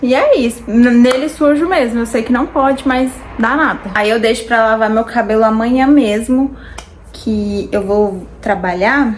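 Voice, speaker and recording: At a fairly slow pace, a woman talks with a fairly high pitch and ordinary pitch variation. Noticeable background noise is present. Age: 20s. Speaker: beauty vlogger. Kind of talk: casual chat while doing makeup. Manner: chatty, informal.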